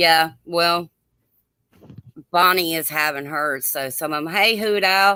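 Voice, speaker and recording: Someone with a Southern US accent speaks at a very slow pace, with long, frequent pauses. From US South, Georgia (Gwinnett County). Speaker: livestream host. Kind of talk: casual chat. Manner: loud. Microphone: too quiet.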